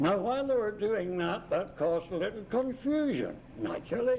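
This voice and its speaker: A man is speaking. His pitch is extremely high. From Ireland. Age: old. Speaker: retired missionary. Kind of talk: oral history interview. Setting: multi-purpose room of a retirement home. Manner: animated. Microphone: cheap cassette recording with tape crackle.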